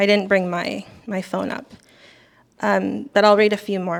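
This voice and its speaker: A soft-spoken woman talks with fairly even intonation. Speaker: poet. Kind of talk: casual talk between poems. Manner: halting.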